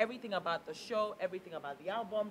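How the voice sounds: Speaking fast, a woman uses a medium pitch and lively intonation.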